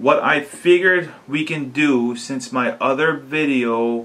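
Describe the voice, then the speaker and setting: The speaker is a man. His voice sits fairly high in pitch. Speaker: DIY video maker. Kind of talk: tutorial. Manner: halting.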